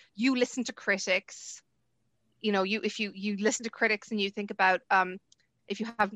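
The voice holds a monotone, flat intonation and a bright, sharp tone, recorded in a dry, close sound with no echo against a quiet background. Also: woman. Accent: Munster. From Ireland. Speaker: university lecturer and researcher. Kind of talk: interview. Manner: hesitant, many fillers.

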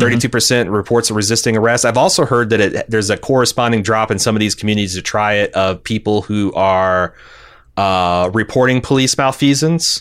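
A plain, everyday voice speaks at a fairly quick pace. Its pitch varies in an ordinary way. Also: man, medium pitch for a man. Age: 40s. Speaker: podcast co-host. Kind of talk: casual chat.

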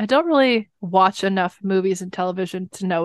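Over a quiet background, a woman with a Californian accent speaks at medium pitch and a moderate pace, in a dry, close sound with no echo. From Los Angeles, California. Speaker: musician, singer. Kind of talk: casual chat.

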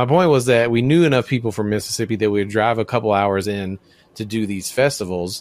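A man at a very fast pace, fairly low-pitched, with an American accent and ordinary pitch variation. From US South, Memphis, Tennessee. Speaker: podcast co-host. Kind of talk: casual chat.

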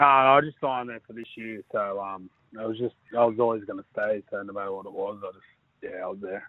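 A man with an Australian accent talks at a fairly quick pace and medium pitch. His intonation stays fairly even while his loudness swings widely. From western Sydney, Australia. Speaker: rugby league player. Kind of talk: interview.

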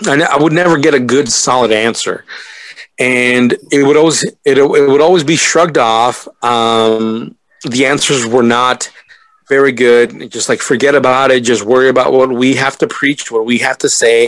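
A man with an American accent talks at a moderate pace in a plain, everyday voice, his pitch medium. His loudness stays very even, and his pitch varies an ordinary amount. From California. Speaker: podcaster. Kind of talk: casual group podcast discussion.

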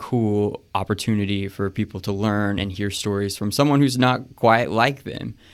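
A man with a plain, everyday voice talks at a moderate pace in a very clean recording with a silent background. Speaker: podcast interviewer and travel editor. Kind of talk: casual interview. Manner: friendly, upbeat.

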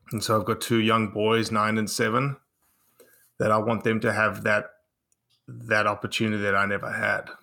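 Bright, sharp tone from a man at a fairly low pitch and a fairly slow pace. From South Africa. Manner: measured, slightly dramatic delivery.

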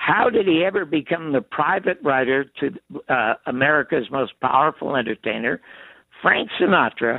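At a moderate pace, a man with an unremarkable speaking voice keeps his loudness very even while his intonation stays lively. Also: fairly high pitch for a man. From Canada, Toronto. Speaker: TV producer and writer. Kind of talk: interview. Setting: phone call.

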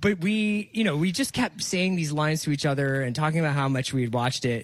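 A man with an American accent and an ordinary speaking voice, fairly high in pitch, at a fairly quick pace with lively intonation. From US, Philadelphia. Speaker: podcaster and editorial director. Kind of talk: radio interview. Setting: home studio, remote.

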